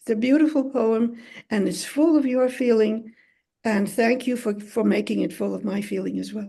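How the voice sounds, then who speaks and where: Somewhat breathy and dark, mellow in tone, a woman with a non-native accent speaks at a moderate pace in a fairly high voice with ordinary pitch variation. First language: not English. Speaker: poet, competition judge. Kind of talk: warm conversation, poetry discussion.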